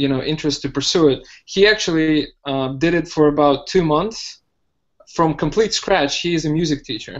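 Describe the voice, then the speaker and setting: Fairly high in pitch with ordinary pitch variation, a man with a Russian accent speaks at a moderate pace. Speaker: hotel manager learning web development. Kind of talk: casual podcast interview. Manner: hesitant, many fillers.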